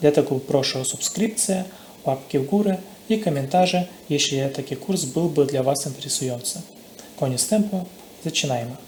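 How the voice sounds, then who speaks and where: A man speaks with a non-native accent. His pace is moderate and his pitch fairly high. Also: lively intonation. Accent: non-native accent in Polish. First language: not Polish (speaking Polish). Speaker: programming course instructor. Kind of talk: tutorial.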